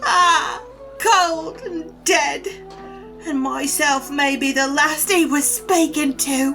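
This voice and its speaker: Clear music plays in the background. The speaker uses a put-on character voice at a very slow pace. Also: woman, high pitch for a woman. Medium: audio drama. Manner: dramatic, lamenting.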